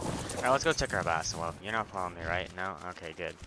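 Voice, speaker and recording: Soft-spoken and at a very fast pace, a man talks in a very deep, low voice with ordinary pitch variation over noticeable background noise. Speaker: gaming YouTuber. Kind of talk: let's play commentary. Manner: soft-spoken, mic set low; casual, filler-heavy. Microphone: headset mic without pop filter, placed at chin, breathing noise.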